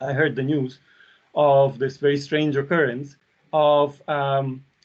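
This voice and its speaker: This man speaks with a Russian accent and a fairly high pitch. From Belarus. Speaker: university lecturer. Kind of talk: academic seminar talk.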